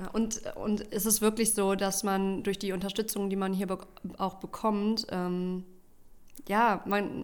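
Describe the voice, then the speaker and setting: A woman speaks at a medium pitch and a fairly slow pace in a flat monotone, on a very clean recording with a silent background. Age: 30s. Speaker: junior consultant. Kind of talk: casual interview.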